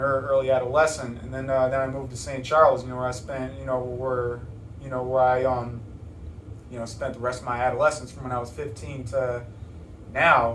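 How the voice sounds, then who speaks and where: An American-accented man speaks at a medium pitch and fairly quick pace with fairly even intonation and big swings in loudness, amid noticeable background noise and audible room echo. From Chicago area, Illinois. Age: 20s. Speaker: rapper. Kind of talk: interview. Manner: halting, many repetitions and fillers.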